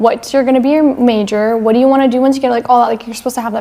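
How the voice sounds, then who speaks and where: A woman with an American accent talks at a very fast pace. Her pitch is fairly high, and noticeable background noise is present. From United States. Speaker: podcast co-host. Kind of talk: casual chat. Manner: animated.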